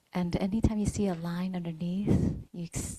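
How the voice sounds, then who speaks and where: In a somewhat breathy voice with a dark, mellow tone and fairly low pitch, a woman speaks at a fairly slow pace, the sound dry and close with no echo. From Vietnamese heritage, grew up in Vietnamese Buddhist temples. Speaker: meditation teacher. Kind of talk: dharma talk. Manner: hesitant, many fillers.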